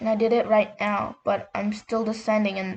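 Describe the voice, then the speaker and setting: The voice is somewhat breathy and keeps a monotone, flat intonation at a moderate pace. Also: woman. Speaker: gaming YouTuber. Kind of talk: gameplay tutorial. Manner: casual, filler-heavy.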